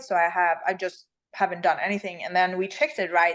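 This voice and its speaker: A woman speaks with a Swedish accent. The background is quiet. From Sweden. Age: 30s. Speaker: bikini fitness champion. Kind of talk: casual interview.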